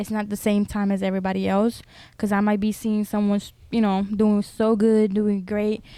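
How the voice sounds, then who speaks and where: In a very clean recording with a silent background, a woman with a Spanish accent speaks at a medium pitch in a flat monotone. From Honduras and US, Honduran immigrant family. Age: 20s. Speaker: YouTuber. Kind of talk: casual interview. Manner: hesitant, many fillers.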